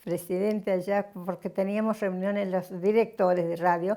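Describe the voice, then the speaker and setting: This woman's voice sits at a medium pitch and has a dark, mellow tone. Her delivery stays monotone and flat. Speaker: retired radio announcer and station director. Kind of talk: interview answer, recounting her career.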